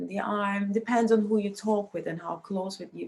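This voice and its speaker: Her voice is medium in pitch, somewhat breathy and dark and mellow in tone. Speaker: lecturer. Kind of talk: lecture.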